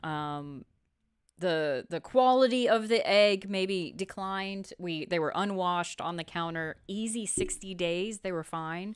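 A woman with a normal speaking voice, medium in pitch, with ordinary pitch variation at a fairly slow pace. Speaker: co-host, chicken keeper. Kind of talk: live show, casual chat. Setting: studio, live stream.

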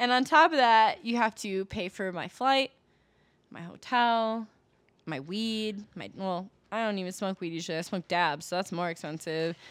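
In a very clean recording with a silent background, a woman with a plain, everyday voice and an American accent speaks at medium pitch and a moderate pace, with big swings in loudness. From US Midwest (Milwaukee, Wisconsin). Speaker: adult performer and rapper. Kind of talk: casual chat.

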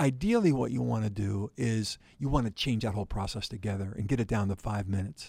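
A man's fairly low, somewhat breathy voice with a dark, mellow tone, ordinary pitch variation and a very fast pace with hardly any pauses. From western Pennsylvania, near Pittsburgh. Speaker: company CEO. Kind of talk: interview. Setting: studio.

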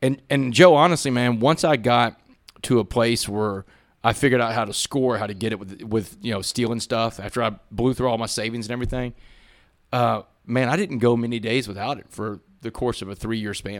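At a fairly quick pace, a man speaks at a medium pitch with ordinary pitch variation and big swings in loudness, on a very clean recording with a silent background. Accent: Texan. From Southeast Texas, Port Arthur. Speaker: former inmate turned motivational speaker. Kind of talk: interview testimony. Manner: animated.

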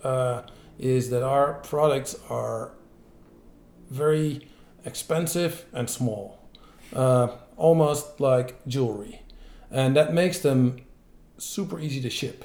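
A man with a Dutch accent speaks at a very slow pace, his pitch fairly high with ordinary variation. Long, frequent pauses break his speech, and the room echo is audible. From Netherlands. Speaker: entrepreneur, bicycle parts company founder. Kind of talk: interview.

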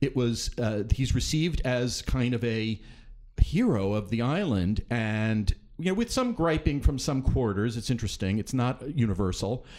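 Here is a man with a normal speaking voice at a medium pitch. His pace is moderate and his pitch variation ordinary. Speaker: theater critic. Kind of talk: casual chat. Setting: studio.

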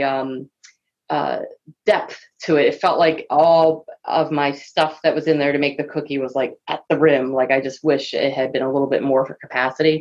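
A woman with a Philadelphia accent. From US Northeast, Philadelphia. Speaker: guest, AV industry. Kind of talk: casual chat. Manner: fast.

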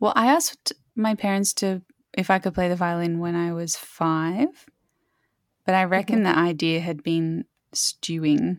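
A woman talks with an Australian accent at a fairly low pitch. The recording is very clean and the background silent. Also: ordinary pitch variation, moderate pace, dry, close sound with no echo. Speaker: composer. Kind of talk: casual chat.

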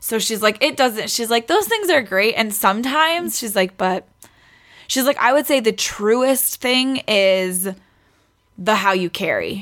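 A woman with an unremarkable speaking voice talks at a fairly slow pace, her fairly high pitch carried by lively intonation. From New York City (Queens). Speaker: podcast guest, pregnant friend of host. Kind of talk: casual chat.

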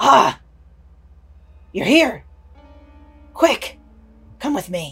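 A put-on character voice at a fairly high pitch, with very wide pitch swings.

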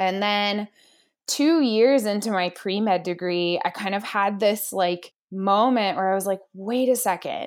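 Speaking with an American accent, a woman has an energetic tone, medium pitch and ordinary pitch variation at a fairly slow pace. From Pittsburgh, Pennsylvania, US. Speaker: head of marketing. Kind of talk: casual interview chat. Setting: home office.

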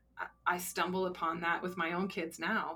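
A woman's medium-pitched voice in an American accent, with vocal fry, a bright, sharp tone and a moderate pace. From Colorado. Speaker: grief center director, former hospice social worker. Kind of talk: interview conversation. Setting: studio.

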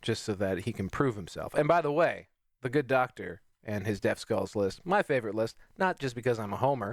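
Over a very clean recording with a silent background, a man of medium pitch speaks in a normal speaking voice with lively intonation. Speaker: stream producer. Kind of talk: casual chat.

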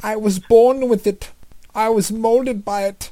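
A put-on character voice with fairly high pitch moves along at a moderate pace.

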